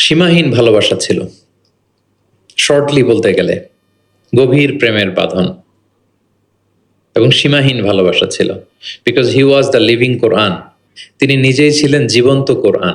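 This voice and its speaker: The loudness stays very even while the pitch varies in an ordinary way. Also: man, fairly high pitch for a man. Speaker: Islamic scholar giving a sermon. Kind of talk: Islamic sermon / lecture (waz).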